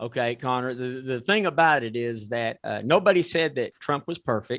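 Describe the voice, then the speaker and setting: A man speaks in an ordinary speaking voice at a medium pitch and a moderate pace, with lively intonation. The background is quiet. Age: 60s. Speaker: talk show host. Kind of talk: talk show chat.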